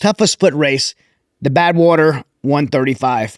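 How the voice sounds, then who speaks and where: A man with an American accent at a moderate pace, with ordinary pitch variation and a dry, close sound with no echo. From Louisiana. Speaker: podcast host. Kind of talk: interview.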